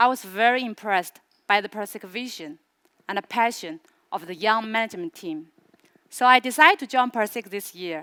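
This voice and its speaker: With a Chinese accent, a woman talks at a fairly quick pace and fairly high pitch, her tone bright and sharp and her intonation lively, with long, frequent pauses over a quiet background. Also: big swings in loudness. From China, Suzhou; China. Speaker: regional business manager; presenter. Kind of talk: product launch presentation. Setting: stage with audience. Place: stage. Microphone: headset.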